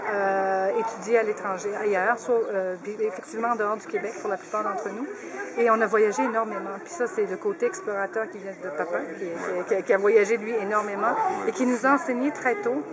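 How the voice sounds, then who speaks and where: Noticeable background noise runs under the voice. Loudness swings widely while pitch varies in an ordinary way. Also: woman, fairly high pitch for a woman, moderate pace. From Quebec, Saguenay. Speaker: family member of a guest of honour. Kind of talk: radio interview.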